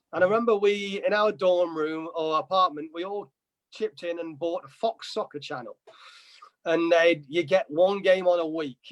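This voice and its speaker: The dry, close sound has no echo as a man with a high pitch talks at a moderate pace with ordinary pitch variation. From England, Nottingham. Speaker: soccer coach. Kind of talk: interview.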